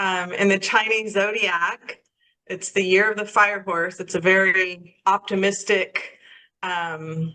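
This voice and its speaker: An unremarkable speaking voice moves up and down in pitch by normal amounts. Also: woman. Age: 60s. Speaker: holistic life coach, minister. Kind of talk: interview conversation.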